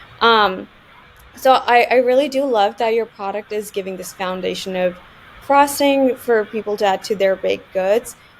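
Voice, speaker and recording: A woman speaks in a normal speaking voice at a moderate pace. Her pitch is fairly high, with ordinary pitch variation. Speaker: podcast host, marketing platform founder. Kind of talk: casual interview.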